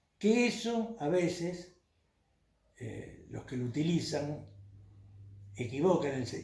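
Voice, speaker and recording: Fairly high male voice with vocal fry, in audible room echo. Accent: Argentine. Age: 70s. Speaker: former city councillor. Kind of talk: interview. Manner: hesitant, frequent fillers.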